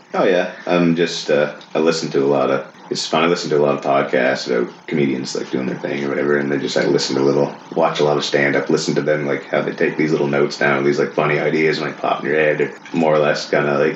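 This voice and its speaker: Mumbling at a very fast pace with hardly any pauses, a man with a very deep, low voice speaks in monotone, flat intonation amid noticeable background noise and audible room echo. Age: 30s. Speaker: firefighter. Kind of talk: casual chat. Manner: flat, eerie cadence.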